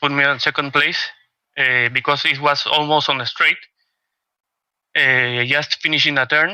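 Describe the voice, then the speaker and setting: A man with a Spanish accent has a bright, sharp tone on a very clean recording with a silent background. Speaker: sim racing driver. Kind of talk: post-race interview. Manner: halting.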